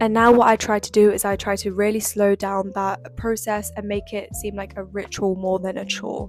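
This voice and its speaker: The speaker has a British accent and hardly any pauses. Music plays in the background. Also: woman, medium pitch for a woman, fairly even intonation, moderate pace. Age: young. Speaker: economics student and lifestyle vlogger. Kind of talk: casual talk to camera. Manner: chatty, relaxed.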